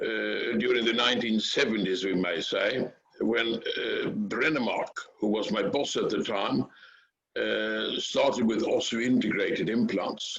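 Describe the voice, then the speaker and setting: With a Swedish accent, a man speaks at a fairly slow pace with very even loudness. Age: 70s. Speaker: dental implant researcher. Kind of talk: interview. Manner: halting.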